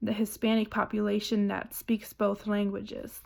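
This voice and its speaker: This woman's voice sits at a fairly high pitch. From Germany. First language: German. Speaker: student. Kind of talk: book report presentation. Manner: hesitant, many fillers.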